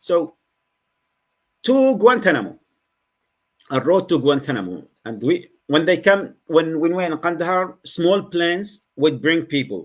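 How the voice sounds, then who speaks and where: With a Yemeni accent, a high-pitched man speaks at a fairly slow pace with lively intonation and long, frequent pauses. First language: Arabic. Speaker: former Guantanamo detainee, writer, advocate. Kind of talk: podcast interview answer.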